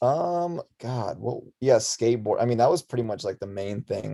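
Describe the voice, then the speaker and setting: This man has an Arizona accent, a medium pitch, a dark, mellow tone, ordinary pitch variation and a fairly quick pace. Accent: American, Arizona. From Russia, moved to Tucson, Arizona at six. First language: Russian. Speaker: musician and clothing designer. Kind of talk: casual chat. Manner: casual, filler-heavy.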